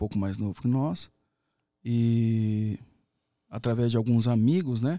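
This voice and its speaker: A dark, mellow tone at a fairly slow pace, with long, frequent pauses and ordinary pitch variation. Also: man, medium pitch for a man. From Paraná, Brazil (Umuarama). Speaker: sertanejo singer and veterinarian. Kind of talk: casual interview. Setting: studio.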